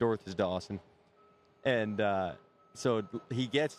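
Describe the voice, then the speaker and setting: An ordinary speaking voice with a Canadian accent and ordinary pitch variation. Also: man. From Canada. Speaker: rodeo cowboy. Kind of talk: casual interview chat. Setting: live show at a stadium.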